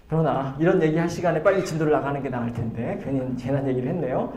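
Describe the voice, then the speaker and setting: A man talks fairly quickly in a room with audible echo, noticeable background noise behind him. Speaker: pastor. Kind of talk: Bible study lecture. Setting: church. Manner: halting with fillers.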